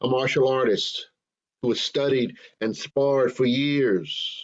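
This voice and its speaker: A man speaks in a plain, everyday voice with ordinary pitch variation. His pitch is fairly high. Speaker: minister. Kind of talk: sermon delivered to a congregation.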